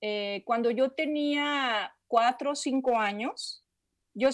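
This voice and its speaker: A woman with a high voice speaks at a very slow pace and ordinary pitch variation on a very clean recording with a silent background. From Mexico, Guadalajara. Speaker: meditation teacher. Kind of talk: interview. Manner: halting.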